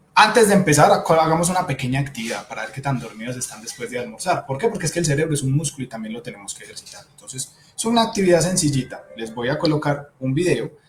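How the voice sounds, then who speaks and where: With music in the background, a man talks at a very fast pace in a fairly high pitch, with hardly any pauses. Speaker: psychologist. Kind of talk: webinar talk.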